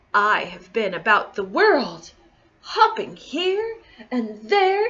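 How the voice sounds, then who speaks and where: A woman puts on a high-pitched character voice and speaks very slowly. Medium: read story. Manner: mysterious, boastful.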